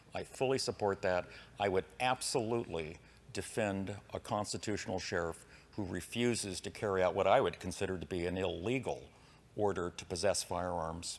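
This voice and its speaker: A man with a General American accent speaks at a very deep, low pitch and a moderate pace. His pitch varies in an ordinary way, and the recording is very clean with a silent background. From US West. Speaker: political candidate. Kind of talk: debate.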